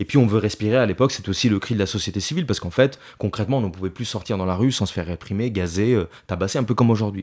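A man at a very fast pace with hardly any pauses and ordinary pitch variation, on a very clean recording with a silent background. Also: fairly low pitch for a man. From Italy. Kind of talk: interview. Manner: hesitant, many fillers.

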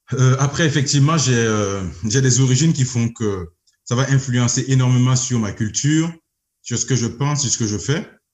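A man with a medium-pitched, somewhat breathy voice talks at a moderate pace with ordinary pitch variation. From Burkina Faso. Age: 30s. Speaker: engineer and entrepreneur. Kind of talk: interview. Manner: hesitant, many fillers.

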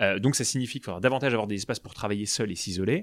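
Recorded very cleanly against a silent background, with a dry, close sound and no echo, a man speaks at a fairly low pitch with ordinary pitch variation. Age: 30s. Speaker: startup co-founder. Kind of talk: interview. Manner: animated.

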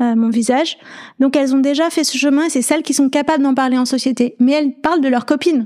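A woman with a high pitch and a dark, mellow tone speaks at a fairly quick pace with fairly even intonation. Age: 40s. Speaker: podcaster. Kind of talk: interview. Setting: in person at guest's home.

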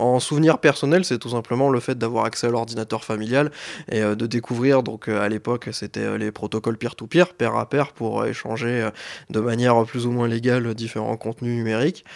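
A man talks at a medium pitch and a moderate pace, with fairly even intonation. It is an unremarkable speaking voice. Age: 20s. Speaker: IT engineer. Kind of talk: interview.

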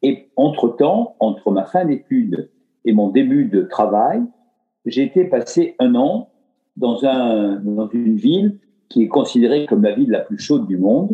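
A man at medium pitch with very wide pitch swings, speaking at a fairly slow pace over background music. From France, Dordogne and Limoges. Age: 60s. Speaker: retired philanthropist. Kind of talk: casual interview.

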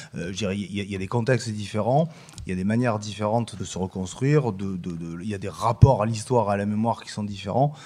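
An unremarkable speaking voice from a man, fairly low in pitch, in a very clean recording with a silent background. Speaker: political science professor. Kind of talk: panel discussion.

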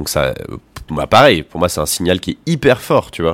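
The man's voice is very deep and low. The recording is very clean, with a silent background. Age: 20s. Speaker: explorer and content creator. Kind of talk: casual interview.

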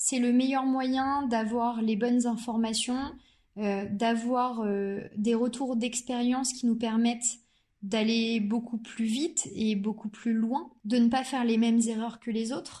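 In a dark, mellow tone, a woman talks at a very slow pace with a fairly high pitch and monotone, flat intonation. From Normandy, France. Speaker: startup founder, neuroscientist. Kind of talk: interview.

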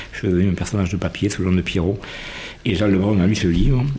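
Over noticeable background noise, a man with a very deep, low voice speaks at a fairly quick pace. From southern France, Aveyron. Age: 60s. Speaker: history teacher. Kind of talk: interview. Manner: hesitant.

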